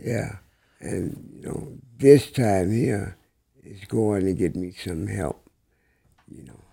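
In an American accent, the very slow, dark and mellow voice carries vocal fry, lively intonation, big swings in loudness and long, frequent pauses. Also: man, fairly low pitch for a man. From Peoria, Illinois. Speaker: guest. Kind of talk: casual chat.

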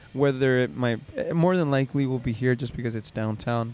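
This man has a plain, everyday voice. He keeps a moderate pace with ordinary pitch variation. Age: 30s. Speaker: podcast host. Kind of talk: casual chat.

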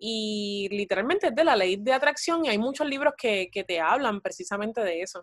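A woman's normal speaking voice, fairly high in pitch, with lively intonation and hardly any pauses, dry and close with no echo. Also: moderate pace. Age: 20s. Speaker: actress and psychology student. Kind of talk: casual interview chat. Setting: call.

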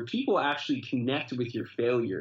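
A man talks in an unremarkable speaking voice at medium pitch. His pace is moderate. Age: 20s. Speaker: pastor. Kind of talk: interview.

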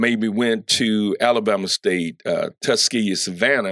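A man with a normal speaking voice talks at a fairly slow pace and medium pitch, intonation fairly even, in a dry, close sound with no echo on a very clean recording with a silent background. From US South, Columbus, Georgia. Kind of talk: interview.

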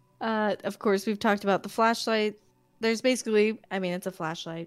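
A woman at medium pitch speaks with fairly even intonation while music plays in the background. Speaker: podcast host. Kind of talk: casual chat. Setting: livestream.

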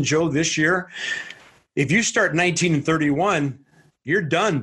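With an American accent, a man speaks in a plain, everyday voice, fairly high in pitch, with ordinary pitch variation. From St. Louis, US Midwest. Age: 60s. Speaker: baseball TV play-by-play announcer. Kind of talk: casual interview.

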